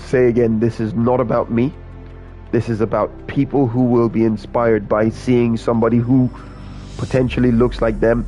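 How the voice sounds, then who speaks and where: Over music in the background, a man with an American accent speaks in a monotone, flat intonation at a medium pitch. His loudness stays very even, and he leaves long, frequent pauses. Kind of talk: formal, public-speaking.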